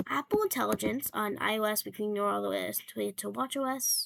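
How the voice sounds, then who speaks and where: A woman talks quietly at a moderate pace. The sound is dry and close, with no echo. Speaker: tech YouTuber. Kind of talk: casual tech commentary. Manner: quiet, hushed; hesitant, many fillers.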